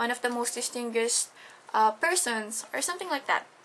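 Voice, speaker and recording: A woman's high-pitched voice with a Tagalog accent and a bright, sharp tone. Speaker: student. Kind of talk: class presentation. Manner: halting.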